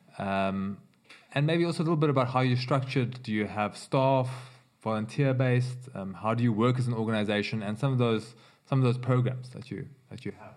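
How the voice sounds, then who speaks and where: A man speaks at a medium pitch with ordinary pitch variation. His pace is fairly quick, with big swings in loudness. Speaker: podcast host. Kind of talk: interview. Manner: halting, many fillers.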